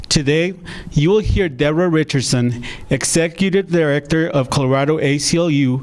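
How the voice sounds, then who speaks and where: A man speaks in a fairly high voice with ordinary pitch variation over noticeable background noise. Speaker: theater partnerships and project manager. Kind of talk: live-streamed event hosting.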